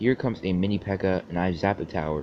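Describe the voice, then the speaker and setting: Speaking at a very fast pace, a man with a very deep, low pitch uses ordinary pitch variation. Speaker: gaming YouTuber. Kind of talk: gameplay commentary.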